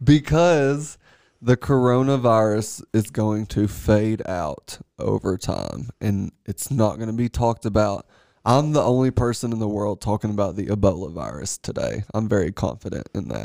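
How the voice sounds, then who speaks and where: At a moderate pace, a man in a Southern US accent uses a fairly low pitch, lively intonation and a dark, mellow tone. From US South, Tennessee. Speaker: astrologer and artist, podcast guest. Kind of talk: casual chat. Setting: studio.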